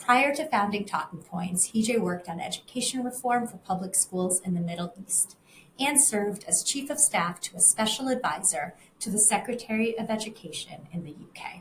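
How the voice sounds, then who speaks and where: Her loudness swinging widely, a woman speaks at medium pitch and moderate pace, somewhat breathy, with lively intonation. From family emigrated from Russia to the US. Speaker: interview host, communications director. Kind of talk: interview. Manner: scripted introduction.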